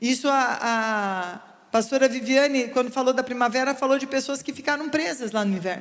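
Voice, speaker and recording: A woman with a high voice and ordinary pitch variation talks at a moderate pace. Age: 60s. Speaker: pastor. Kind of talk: sermon.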